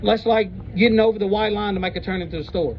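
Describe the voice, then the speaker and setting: A man speaks loudly at a very fast pace, his pitch high and his intonation fairly even. Noticeable background noise runs underneath. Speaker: citizen auditor confronting police. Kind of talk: heated debate. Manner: blunt, argumentative.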